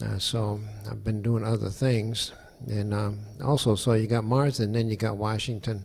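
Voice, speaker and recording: Somewhat breathy, a man talks at a moderate pace. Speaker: guest. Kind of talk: conference talk. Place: hall. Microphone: handheld.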